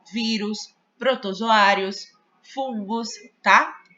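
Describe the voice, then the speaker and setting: Pitch varies in an ordinary way as the words come out very slowly. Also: woman. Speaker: teacher. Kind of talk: lecture. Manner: casual, with many fillers.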